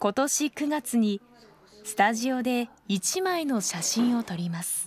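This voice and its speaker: A woman's fairly high voice, very slow in pace, with very wide pitch swings. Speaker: news narrator. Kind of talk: TV news feature narration.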